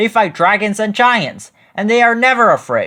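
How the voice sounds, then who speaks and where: The voice is a put-on character voice. It sits at a fairly high pitch. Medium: read story.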